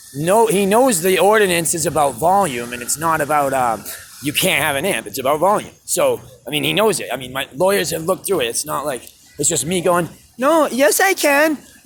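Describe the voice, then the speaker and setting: Over music in the background, a man with a fairly high pitch speaks at a fairly quick pace and with lively intonation. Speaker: street musician. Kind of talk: vlog rant. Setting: outdoors. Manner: loud; animated.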